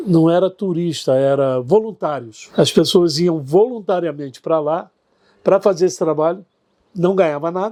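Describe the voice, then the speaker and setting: This man has a dark, mellow tone and a high pitch with ordinary variation. He speaks at a moderate pace in a very clean recording with a silent background. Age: 70s.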